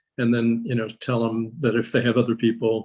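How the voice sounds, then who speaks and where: This man talks at a medium pitch. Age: 70s. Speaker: portrait artist. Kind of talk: panel discussion. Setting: video call. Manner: halting, many fillers and repeats.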